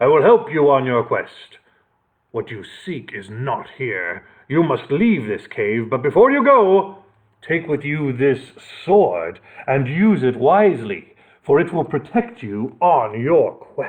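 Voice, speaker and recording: A man uses a put-on character voice, pitched fairly high and delivered at a fairly slow pace. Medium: read story. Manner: rumbling.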